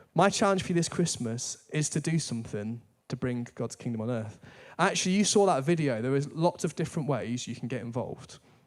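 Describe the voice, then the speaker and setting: Speaking fairly quickly with lively intonation in a northern English accent, a man is heard on a very clean recording with a silent background. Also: medium pitch for a man. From northern England. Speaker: church staff preacher. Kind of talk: sermon. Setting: church.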